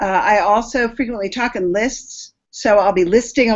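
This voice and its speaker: Here a woman speaks in a fairly high pitch. Her pitch varies in an ordinary way. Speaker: speaker preparing a talk. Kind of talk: video call rehearsal feedback.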